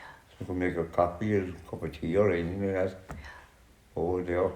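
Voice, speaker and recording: This man has a very deep, low voice and a Cork accent. He talks at a fairly quick pace in a flat monotone, with big swings in loudness. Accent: Cork Irish. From County Cork, Ireland. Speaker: social housing resident. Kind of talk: interview answer.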